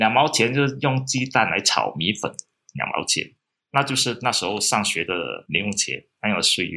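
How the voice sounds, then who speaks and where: Using lively intonation and some vocal fry, a man speaks at medium pitch and a moderate pace. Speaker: local historian and author. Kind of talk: interview. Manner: relaxed, conversational with fillers.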